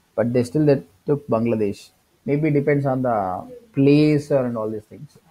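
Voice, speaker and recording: This voice has a dark, mellow tone and an Indian accent. Pitch varies in an ordinary way while loudness swings widely. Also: man, medium pitch for a man, moderate pace. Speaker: digital marketing trainer. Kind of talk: tutorial. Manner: hesitant with many fillers.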